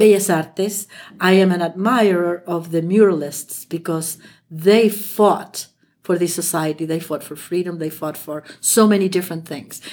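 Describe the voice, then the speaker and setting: In a Spanish accent, a woman speaks with fairly even intonation. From Chile. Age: 70s. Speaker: French teacher, host's mother. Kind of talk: casual chat.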